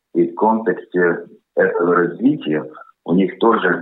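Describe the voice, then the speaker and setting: A man with a Latvian accent speaks at a very slow pace. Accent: Latvian-accented Russian. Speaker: consultant company board member. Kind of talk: radio interview statements.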